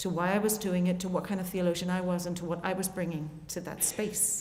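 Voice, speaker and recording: A woman with an Irish accent speaks at a fairly quick pace amid audible room echo. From Ireland. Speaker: theologian and musician, keynote speaker. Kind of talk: conference keynote talk. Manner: fast.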